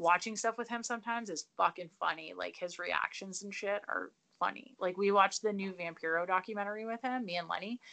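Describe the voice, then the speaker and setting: In an unremarkable speaking voice, a woman with a Canadian accent talks at a fairly quick pace with hardly any pauses, using a medium pitch and ordinary pitch variation. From southern Ontario, Canada. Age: 30s. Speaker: professional wrestler. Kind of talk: casual chat.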